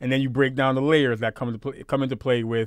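In a very clean recording with a silent background, a man speaks at a medium pitch with a New York accent. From Brooklyn, New York. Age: 30s. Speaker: podcast co-host. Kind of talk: casual chat. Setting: livestream recorded at home.

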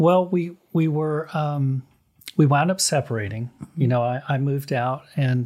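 A man's voice, somewhat breathy, with ordinary pitch variation. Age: 60s. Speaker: artist and gallery owner. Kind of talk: casual chat.

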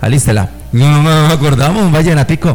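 A man with ordinary pitch variation talks at a fairly quick pace amid noticeable background noise. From Colombia, Medellín (paisa). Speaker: musician and band director. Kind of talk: casual chat.

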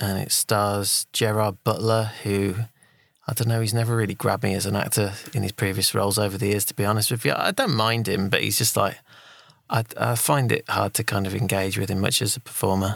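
A man with a British accent speaks at a fairly quick pace in a fairly low, monotone, flat voice. The sound is dry and close, with no echo. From Britain. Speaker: podcast co-host. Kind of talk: casual chat.

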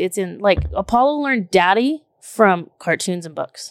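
A woman with a Texan accent speaks in an animated tone at a medium pitch with very wide pitch swings. The recording is very clean, dry and close, with a silent background and no echo. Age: 30s. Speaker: podcast host. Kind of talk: casual chat. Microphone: new microphone.

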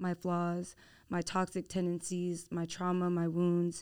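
A woman at medium pitch speaks with an American accent. The recording is very clean with a silent background. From Houston, Texas. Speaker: podcast host and nursing student. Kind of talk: casual chat.

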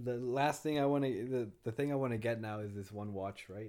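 A man with an unremarkable speaking voice, medium in pitch, at a fairly quick pace with fairly even intonation, in a very clean recording with a silent background. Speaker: food industry worker and gardener. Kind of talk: casual chat.

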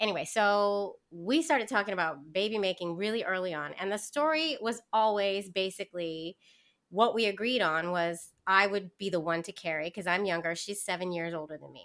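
An ordinary speaking voice at a moderate pace, lively in intonation and big in its loudness swings, on a very clean recording with a silent background. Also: woman, medium pitch for a woman. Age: 40s. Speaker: podcast guest sharing fertility story. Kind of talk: casual interview.

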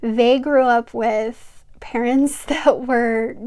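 Here a woman speaks at a very slow pace. Her fairly high pitch stays in fairly even intonation. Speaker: podcast host, mother. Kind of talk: personal testimony monologue.

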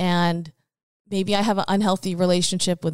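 A woman with a Canadian accent speaks in a normal speaking voice at a fairly quick pace, her medium pitch moving in fairly even intonation, recorded very cleanly with a silent background and a dry, close sound with no echo. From Richmond, British Columbia, Canada. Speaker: real estate agent and former singer-actress. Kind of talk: casual interview. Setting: host's living room.

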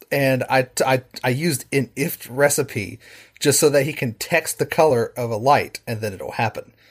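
Somewhat breathy, a man with an American accent speaks at medium pitch with ordinary pitch variation. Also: moderate pace. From West Virginia, Charleston. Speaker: programming teacher and home automation hobbyist. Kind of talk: casual chat.

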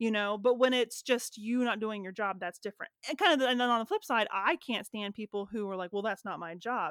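In a very clean recording with a silent background and a dry, close sound with no echo, a woman with a plain, everyday voice talks at a fairly quick pace and fairly high pitch, with ordinary pitch variation and hardly any pauses. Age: 30s. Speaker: podcast co-host. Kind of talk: casual chat.

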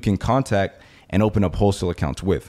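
A man's ordinary speaking voice, fairly low in pitch, with an American accent at a fairly quick pace, on a very clean recording with a silent background. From Miami, Florida. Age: 20s. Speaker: e-commerce entrepreneur. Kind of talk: interview.

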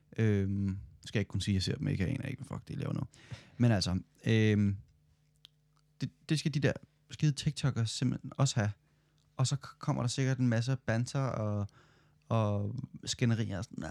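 A man speaks at a medium pitch with ordinary pitch variation. His moderate pace has long, frequent pauses, and the sound is dry and close with no echo. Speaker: podcast co-host, student. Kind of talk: casual chat.

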